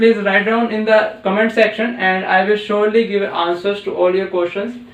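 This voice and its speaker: A man talks with an Indian accent over noticeable background noise. Audible room echo surrounds his voice. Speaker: physics teacher. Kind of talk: tutorial. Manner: halting, many fillers.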